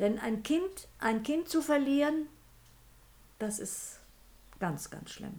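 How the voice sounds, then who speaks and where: At a very slow pace, a woman speaks in a somewhat breathy voice with lively intonation. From Sudetenland, Czech Republic; raised in Hesse. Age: 80s+. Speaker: grandmother. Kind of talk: casual chat. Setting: sitting beside the host. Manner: halting.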